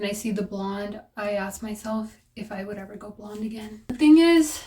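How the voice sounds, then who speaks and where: This is a normal speaking voice. A woman talks at a moderate pace in a fairly high pitch. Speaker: beauty vlogger. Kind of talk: casual chat.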